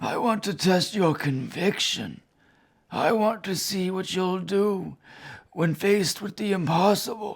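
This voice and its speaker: A raspy, put-on character voice sits at middle pitch. It moves at a fairly slow pace. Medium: short film. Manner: grave, formal, measured.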